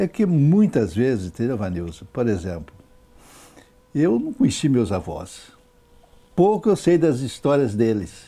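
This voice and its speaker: A man's medium-pitched, dark, mellow voice at a fairly slow pace, with very wide pitch swings and long, frequent pauses. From Brazil, Minas Gerais (Governador Valadares). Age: 70s. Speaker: author and former local politician. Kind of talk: interview.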